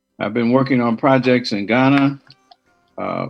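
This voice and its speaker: A man with an American accent speaks at a moderate pace and medium pitch. His intonation is monotone and flat, with music in the background. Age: 70s. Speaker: retired educator and attorney, diaspora chief. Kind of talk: radio interview.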